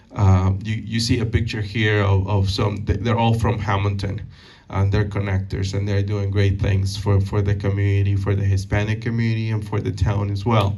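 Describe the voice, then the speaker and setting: In a room with audible echo, a man speaks at a moderate pace, his voice somewhat breathy, dark and mellow in tone, fairly low in pitch, with monotone, flat intonation. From Peru. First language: Spanish. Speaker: banker and community speaker. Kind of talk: Q&A at a public talk. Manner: halting, many fillers and repeated words.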